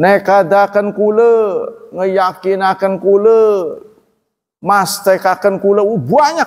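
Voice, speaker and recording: Words come out very slowly, and the pitch rises and falls in an ordinary way. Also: man, high pitch for a man, quiet background. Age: old. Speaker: Islamic preacher; religious teacher. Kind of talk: religious lecture. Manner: casual, conversational. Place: church. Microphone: studio mic.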